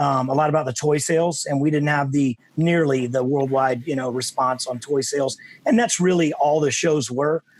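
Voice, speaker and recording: Someone with an American accent talks at a moderate pace with fairly even intonation amid noticeable background noise. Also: man, fairly high pitch for a man. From Texas. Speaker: actor. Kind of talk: interview. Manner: casual.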